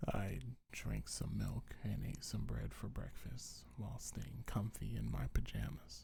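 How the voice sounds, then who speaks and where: The voice is whispering in a gentle tone. It moves at a fairly slow pace. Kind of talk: ASMR comfort roleplay. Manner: soft-spoken, gentle.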